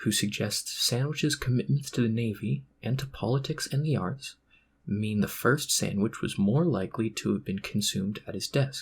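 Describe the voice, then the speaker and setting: A man speaks at a moderate pace in a somewhat breathy, medium-pitched voice. His intonation is lively, and the recording is very clean with a silent background. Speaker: ASMR reader. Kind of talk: Wikipedia article reading. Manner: amateurish.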